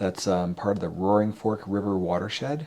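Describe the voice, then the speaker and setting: Speaking at a moderate pace, a man with an American accent uses a fairly low pitch. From US, Colorado. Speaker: hunter and photographer. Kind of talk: casual chat. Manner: halting.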